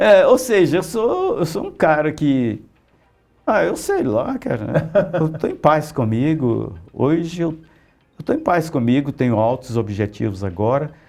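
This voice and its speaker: Music plays behind a man with a fairly high voice. He talks at a fairly slow pace with very wide pitch swings. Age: 60s. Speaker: comic book artist and writer. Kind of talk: interview. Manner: casual, animated.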